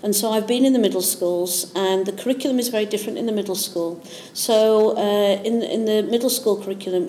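A woman with a Yorkshire accent speaks at a medium pitch and a fairly quick pace, with ordinary pitch variation. There is noticeable background noise. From Yorkshire, northern England. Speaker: maths teacher and education consultant. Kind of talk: interview.

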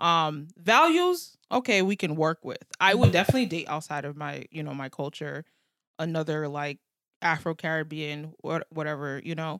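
A woman with an American accent speaks at a moderate pace and a very deep, low pitch, with ordinary pitch variation and big swings in loudness. The recording is very clean with a silent background. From United States. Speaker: podcast co-host. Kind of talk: casual chat.

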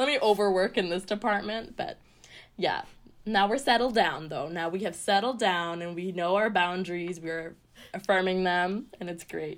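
A woman's plain, everyday voice with a Canadian accent, medium in pitch with ordinary pitch variation, on a very clean recording with a silent background. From Canada (Ottawa), born in Sri Lanka. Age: 20s. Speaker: musician and arts program coordinator. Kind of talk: casual interview chat. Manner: fast, laughs often.

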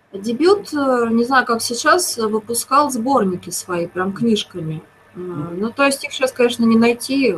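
Against noticeable background noise, a woman speaks at a fairly slow pace with lively intonation and fairly high pitch. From Moscow, Russia. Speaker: TV series screenwriter. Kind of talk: interview.

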